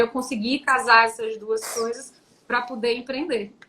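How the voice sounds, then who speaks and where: Pitch moves in an ordinary way. The voice is projected and raised. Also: woman. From Brazil, Teresina, Piauí. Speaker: tax lawyer and entrepreneur. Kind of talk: live-stream interview. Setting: online live stream.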